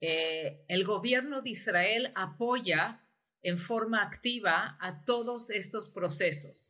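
With lively intonation and a bright, sharp tone, a woman talks at medium pitch and a very slow pace. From Uruguay, lived in Chile, Argentina, US and Mexico. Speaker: tech company CEO. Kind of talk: interview. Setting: video call. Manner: halting.

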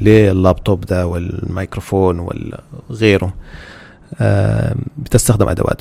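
A man with a Sudanese accent and a very deep, low pitch, at a fairly slow pace with long, frequent pauses and ordinary pitch variation. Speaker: podcast host. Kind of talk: religious talk.

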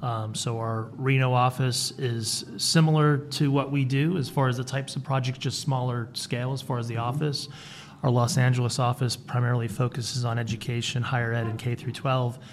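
A man talks at a fairly quick pace in a medium pitch. His voice is somewhat breathy, with monotone, flat intonation. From Rhode Island. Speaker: architect, firm vice president. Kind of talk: interview.

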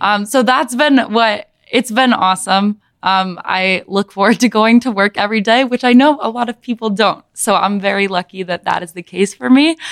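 A woman speaks in a Midwestern American accent at a moderate pace. Her pitch varies in an ordinary way, and she hardly pauses at all. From US Midwest, Michigan (Ann Arbor). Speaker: elementary school teacher. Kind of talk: casual chat.

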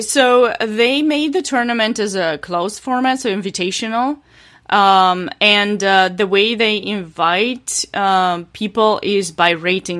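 On a very clean recording with a silent background, a woman speaks at medium pitch and a moderate pace with lively intonation. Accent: Romanian. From Romania. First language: Romanian. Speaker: chess player. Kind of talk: interview. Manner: hesitant, many fillers.

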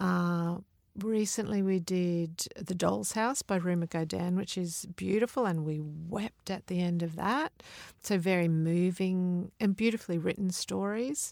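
At a fairly slow pace, a woman speaks with fairly low pitch and ordinary pitch variation. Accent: Australian. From Mount Isa, outback Queensland, Australia. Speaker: children's author. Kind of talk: interview conversation.

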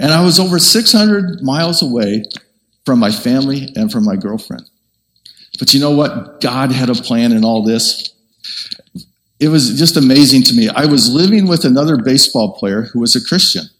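A man in a normal speaking voice uses lively intonation at a medium pitch and a moderate pace. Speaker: preacher. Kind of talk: sermon.

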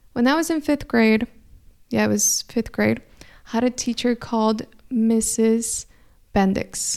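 A woman with a Spanish accent speaks at a fairly slow pace with long, frequent pauses. Her tone is warm and her loudness stays very even. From California. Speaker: spiritual astrology podcaster. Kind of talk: solo monologue, spiritual weekly forecast. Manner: warm, reflective.

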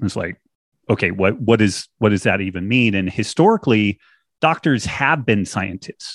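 A man with an ordinary speaking voice talks at a fairly low pitch with ordinary pitch variation. His pace is moderate over a quiet background. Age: 50s. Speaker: retired biochemist and author. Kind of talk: casual interview.

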